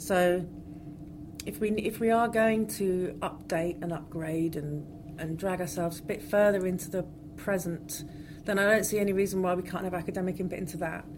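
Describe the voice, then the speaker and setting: A woman speaks at a moderate pace with a fairly low pitch and fairly even intonation. Noticeable background noise and audible room echo are present. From West Country, England. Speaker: archaeologist. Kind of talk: interview.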